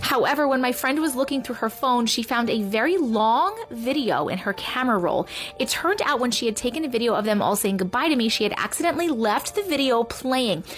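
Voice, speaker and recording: Against noticeable background noise, a woman with a high pitch talks at a fairly quick pace, her intonation lively and her loudness very even. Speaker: storyteller reading viewer-submitted stories. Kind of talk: reading aloud. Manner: hushed, suspenseful storyteller pacing; conversational, casual commentary between stories.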